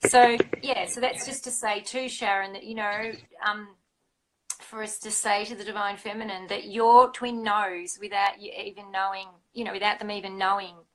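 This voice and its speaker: A plain, everyday voice from a fairly high-pitched woman at a moderate pace, with fairly even intonation and big swings in loudness. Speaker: spiritual coach. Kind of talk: casual chat.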